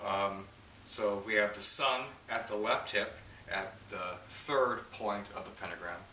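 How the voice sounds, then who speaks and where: Over noticeable background noise and audible room echo, a man speaks with an American accent at a fairly slow pace. His pitch is fairly low and his intonation fairly even. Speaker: esoteric teacher. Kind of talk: tutorial. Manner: hesitant, many fillers.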